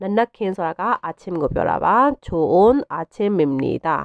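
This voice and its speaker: A woman with a Burmese accent speaks at a medium pitch. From Myanmar. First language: Burmese (speaking Korean). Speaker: language teacher. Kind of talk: tutorial. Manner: slow, repetitive drilling of phrases.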